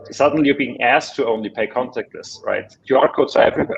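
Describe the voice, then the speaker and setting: Here a man speaks with a German accent. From Germany. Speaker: tech executive. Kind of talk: panel discussion.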